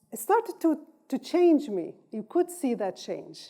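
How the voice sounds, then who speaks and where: A woman speaks in an Arabic accent with a dark, mellow tone. Her pitch swings very widely. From North Yemen. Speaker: political science professor. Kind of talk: lecture.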